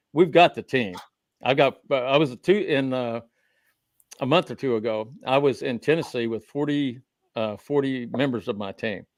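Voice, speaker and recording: Dry, close sound with no echo and a very clean, silent background carry a man's voice, which has an Oklahoma accent and ordinary pitch variation. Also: medium pitch for a man, moderate pace. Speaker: researcher of the Copper Scroll, guest. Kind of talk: panel interview discussion. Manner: halting, with fillers and repetitions.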